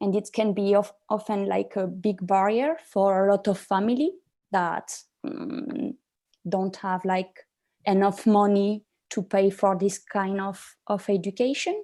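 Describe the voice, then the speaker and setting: A woman with a French accent, medium in pitch and dark, mellow in tone, at a fairly slow pace with ordinary pitch variation, on a very clean recording with a silent background. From France. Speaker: young social entrepreneur, panelist. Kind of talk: panel discussion. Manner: hesitant, many fillers.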